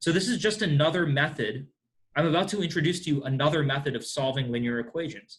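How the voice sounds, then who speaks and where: A man talks at a very fast pace. His voice is fairly high-pitched and somewhat breathy. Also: ordinary pitch variation. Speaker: math teacher. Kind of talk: lecture. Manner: halting.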